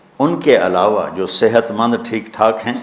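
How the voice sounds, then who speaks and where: Over noticeable background noise, the speaker's intonation stays lively. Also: man. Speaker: Islamic preacher. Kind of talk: religious sermon.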